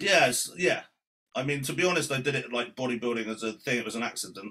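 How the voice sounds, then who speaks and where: With a British accent, a man talks very fast at a medium pitch and ordinary pitch variation. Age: 30s. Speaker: amateur bodybuilder. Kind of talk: casual chat.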